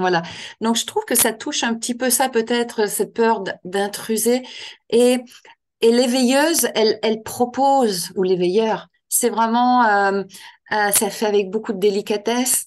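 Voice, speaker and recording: Against a quiet background, a woman speaks at a fairly slow pace with fairly even intonation and a fairly high pitch. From Quebec. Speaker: author and end-of-life care trainer. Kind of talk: interview. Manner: hesitant, many fillers and repetitions.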